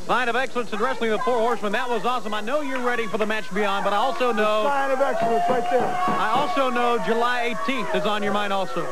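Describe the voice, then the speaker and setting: The speech runs at a very fast pace with hardly any pauses, while loud music plays in the background. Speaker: wrestling announcer. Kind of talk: wrestling show hype announcement. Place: studio.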